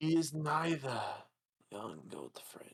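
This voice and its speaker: Using a put-on character voice, a man pitches himself fairly high. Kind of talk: grave fantasy oration. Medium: actual play. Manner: solemn, measured, riddling.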